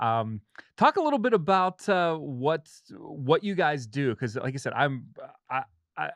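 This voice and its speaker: Against a quiet background, a man with a fairly high voice speaks fairly slowly with lively intonation and long, frequent pauses, the sound dry and close with no echo. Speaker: podcast host. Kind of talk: interview. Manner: halting.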